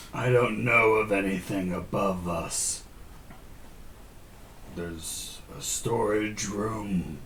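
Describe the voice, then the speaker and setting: A man puts on a raspy character voice with a fairly low pitch, talking at a very slow pace with long, frequent pauses over clear background noise. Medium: actual play. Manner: solemn, terse.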